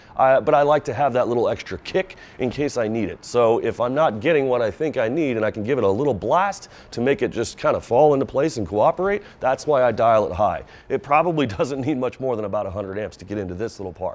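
A man speaks at a very fast pace. He hardly pauses at all. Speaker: welding instructor. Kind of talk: tutorial. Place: workshop.

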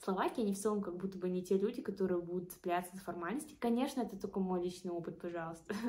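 A woman's medium-pitched, somewhat breathy voice, dark and mellow in tone, at a very fast pace with ordinary pitch variation. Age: 20s. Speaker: student and study-abroad consultant. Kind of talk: casual vlog talk.

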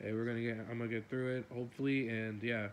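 A man is talking. Behind him there is light background noise. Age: young. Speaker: gaming youtuber; content creator. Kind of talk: casual vlog update. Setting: face cam recording at home. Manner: rambling, halting with fillers. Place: home room.

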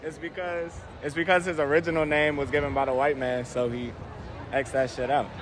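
Background noise is clearly audible. The speech moves at a fairly quick pace with little pitch movement. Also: man, fairly high pitch for a man.

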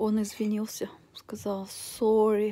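A woman's voice carries a dark, mellow tone and sounds somewhat breathy. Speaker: vlogger. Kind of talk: casual vlog chat. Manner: weak, drained voice of a sick person. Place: home room.

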